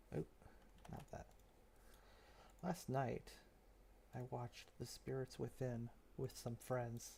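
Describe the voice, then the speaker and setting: A quiet man at a very slow pace, with long, frequent pauses. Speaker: streamer. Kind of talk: casual chat. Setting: live stream, late at night. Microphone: headset mic, picks up voice quietly.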